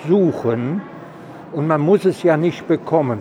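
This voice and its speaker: Amid noticeable background noise, a man speaks fairly slowly in a high pitch. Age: 80s+. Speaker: elderly vaccine recipient. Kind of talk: casual interview. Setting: vaccination centre on location.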